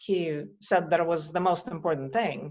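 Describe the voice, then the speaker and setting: The voice has a Russian accent, set against a quiet background. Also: woman. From Russia, Moscow. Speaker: visionary artist. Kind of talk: interview conversation.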